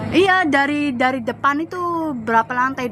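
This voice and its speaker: Over noticeable background noise, a woman uses a raised, projected voice, high in pitch with ordinary pitch variation. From Java, Indonesia. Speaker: migrant domestic worker. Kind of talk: casual chat.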